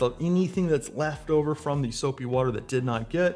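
A man at a fairly quick pace with ordinary pitch variation, faint music in the background. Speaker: presenter. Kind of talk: tutorial. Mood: light, joking. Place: studio.

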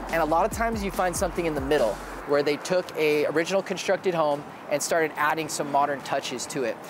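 A man talking very fast over noticeable background noise. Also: ordinary pitch variation, dry sound with no echo. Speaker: real estate vlogger. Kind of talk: casual vlog chat. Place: bar. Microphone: lapel.

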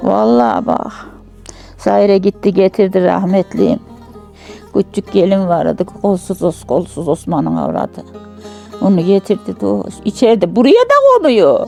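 Over music in the background, someone speaks at a fairly slow pace in a Central Anatolian accent. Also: woman. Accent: rural central Anatolian Turkish dialect. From Turkey, Yozgat, central Anatolia. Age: 80s+. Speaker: village elder. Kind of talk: life story interview.

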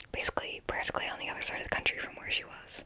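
A woman whispers. Her voice is soft-spoken. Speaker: true crime storyteller. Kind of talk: true crime narration. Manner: soft close-mic whisper. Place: home room. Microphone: handheld.

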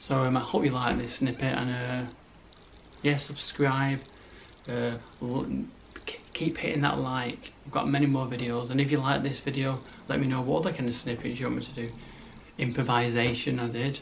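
Monotone, flat intonation at a moderate pace with long, frequent pauses over light background noise. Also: man. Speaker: vlogger. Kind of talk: casual vlog chat. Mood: joking, teasing.

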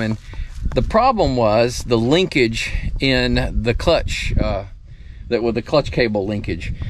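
A man talks at a moderate pace with ordinary pitch variation, the sound dry with no echo and light background noise behind him. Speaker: homestead tractor owner. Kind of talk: casual vlog chat. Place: garden. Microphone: phone near.

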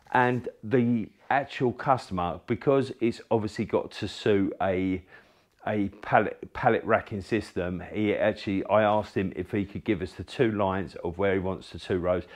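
Against a quiet background, a man with an unremarkable speaking voice talks at a moderate pace, with fairly low pitch and ordinary pitch variation. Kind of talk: casual explanation of a job. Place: workshop.

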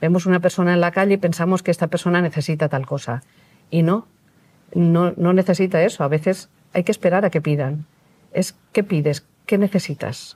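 A woman speaks at a moderate pace with a fairly low pitch and a dark, mellow, somewhat breathy tone. Her intonation is fairly even and her loudness very even. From Valencia, Spain; Spain. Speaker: retired doctor, NGO volunteer; interviewee. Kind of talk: interview. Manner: halting. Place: studio. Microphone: lapel.

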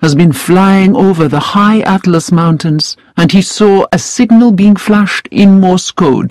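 The reading comes in a natural reading voice. Nothing about the delivery departs from that.

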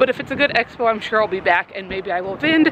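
A woman talks at a very fast pace with ordinary pitch variation. The sound is dry with no echo, though loud background noise runs underneath. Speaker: pet vlogger. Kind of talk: casual vlog chat. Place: street. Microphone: phone near.

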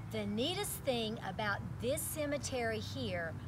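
Music plays in the background. A woman speaks at a very slow pace. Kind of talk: storytelling read-aloud. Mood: warm, lively storyteller. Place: open country.

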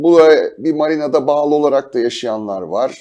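The man's voice has a dark, mellow tone. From Turkey, Istanbul. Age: 60s. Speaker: sailing journalist and yacht captain. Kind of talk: TV interview.

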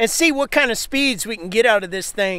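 A man's bright, sharp tone comes through at a moderate pace in a dry sound with no echo. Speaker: outdoor vlogger. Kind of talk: casual vlog chat. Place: waterside. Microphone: phone near.

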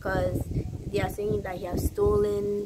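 A woman talks at a fairly slow pace. Noticeable background noise can be heard. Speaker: YouTuber doing music video reactions. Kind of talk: casual talk to camera.

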